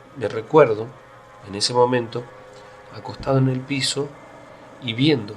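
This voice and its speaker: A man talking fairly slowly over music in the background. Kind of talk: first-person paranormal story told on radio.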